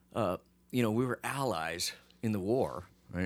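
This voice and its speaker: A man with a General American accent has a normal speaking voice, fairly low in pitch. His intonation is lively, and the recording is very clean with a silent background. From US, Phoenix. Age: 50s. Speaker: podcast host. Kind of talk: casual chat. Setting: studio.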